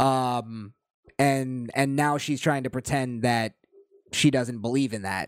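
Recorded very cleanly against a silent background, a man with an unremarkable speaking voice talks at a medium pitch and a fairly slow pace. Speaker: podcast host. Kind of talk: casual banter, crude comedy chat. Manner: irreverent, profane.

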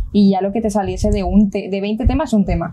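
A woman at medium pitch and moderate pace, with fairly even intonation and noticeable background noise. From Colombia, then Spain. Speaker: aerospace engineering student. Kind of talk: casual family chat.

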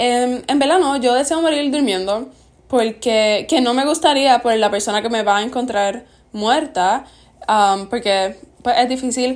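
A woman's fairly high voice with ordinary pitch variation on a very clean recording with a silent background. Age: young. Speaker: podcast host. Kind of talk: casual chat.

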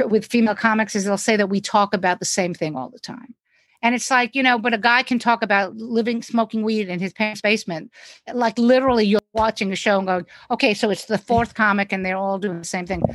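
A woman speaks at a fairly quick pace in a New York accent, her fairly high pitch showing ordinary variation, in a dry, close recording with no echo. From New York City. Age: 60s. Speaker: stand-up comedian. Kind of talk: casual chat.

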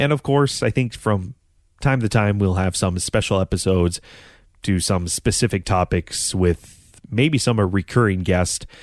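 At a moderate pace, a man with a fairly low pitch, ordinary pitch variation and very even loudness is heard in a very clean recording with a silent background. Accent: American. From North Dakota, US Midwest. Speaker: podcast host, former radio sports broadcaster. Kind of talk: casual solo monologue. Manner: halting, many fillers.

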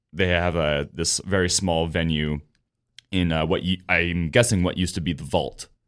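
Very deep and low, a man's voice comes at a moderate pace with fairly even intonation on a very clean recording with a silent background. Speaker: radio show host. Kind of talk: casual chat.

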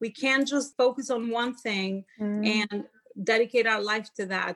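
This woman has an Albanian accent and a fairly high pitch. She talks at a moderate pace. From Albania (Tirana). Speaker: motivational speaker and life coach. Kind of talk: podcast interview.

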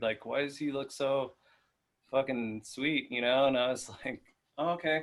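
Pitched at a medium level, a man talks in a normal speaking voice. The intonation stays fairly even. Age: 30s. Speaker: vintage clothing dealer. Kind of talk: casual chat.

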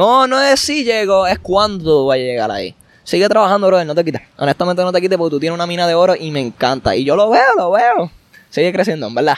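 A man talks at a very fast pace with a high pitch. His voice makes very wide pitch swings. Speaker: athletics coach. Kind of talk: casual interview chat. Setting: outdoors at the beach.

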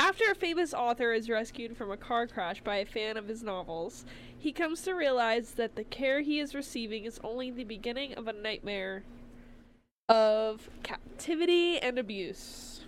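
A woman uses a normal speaking voice, fairly high in pitch, with lively intonation at a moderate pace. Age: 20s. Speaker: horror movie podcast co-host. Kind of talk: casual chat.

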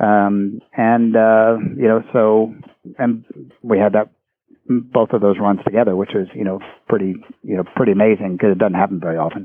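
Using a plain, everyday voice, a man with an American accent speaks at a fairly low pitch with fairly even intonation. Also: moderate pace. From Maryland, US. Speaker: Olympic gold medalist equestrian and coach. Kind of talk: interview.

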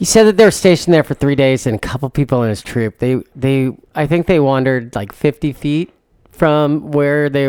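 At a moderate pace, a man with a normal speaking voice and a fairly high pitch talks in a very clean, dry, close recording with no echo and a silent background. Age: 40s. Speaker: podcast co-host. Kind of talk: casual chat.

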